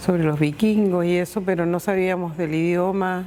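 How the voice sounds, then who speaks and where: Noticeable background noise sits behind this recording. A woman talks at a fairly slow pace in a medium pitch. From northern Chile, Iquique. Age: 60s. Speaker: migrant interviewee. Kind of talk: testimony.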